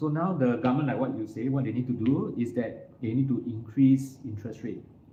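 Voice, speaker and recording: Over noticeable background noise and audible room echo, a man talks fairly quickly at a medium pitch with ordinary pitch variation. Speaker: financial firm CEO. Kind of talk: talk to live audience.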